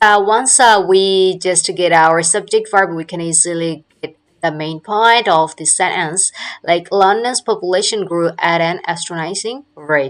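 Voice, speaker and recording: A woman speaks with a non-native accent at a fairly slow pace, her pitch varying in an ordinary way. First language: not English. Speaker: English teacher. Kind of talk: lecture. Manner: halting, frequent fillers.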